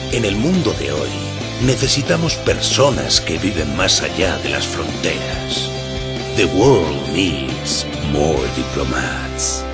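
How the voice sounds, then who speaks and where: A man talking very slowly over loud background music. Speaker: voice actor. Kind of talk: TV commercial read. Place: studio. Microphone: studio mic.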